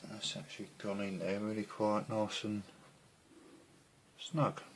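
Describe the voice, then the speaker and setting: A soft-spoken man talks at a fairly slow pace, his pitch fairly low with ordinary variation. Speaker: scale model builder. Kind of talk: tutorial.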